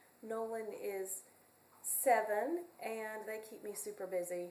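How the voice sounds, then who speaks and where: The speaker has a North Carolina accent and ordinary pitch variation at a fairly slow pace. There is noticeable background noise. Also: woman. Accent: US Southern (North Carolina). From North Carolina, Hickory. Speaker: community college music teacher. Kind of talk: self-introduction video. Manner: halting, many fillers.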